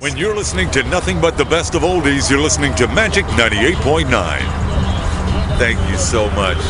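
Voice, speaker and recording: A man at a fairly quick pace, loud background noise behind a dry sound with no echo. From Brooklyn, New York. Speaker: radio announcer. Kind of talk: radio station announcer read. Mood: grateful, smiling. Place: street. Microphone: phone near.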